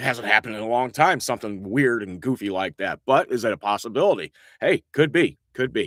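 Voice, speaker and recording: A man with a rural Indiana accent, medium pitch and lively intonation at a fairly quick pace, on a very clean recording with a silent background. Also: dry, close sound with no echo. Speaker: local online show host. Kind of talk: casual live-stream chat and weather talk. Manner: casual, rambling with fillers.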